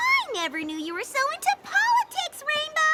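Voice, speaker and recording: A squeaky, cartoonish character voice, female-sounding and extremely high-pitched, at a moderate pace with light background noise. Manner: bubbly, playful, fast.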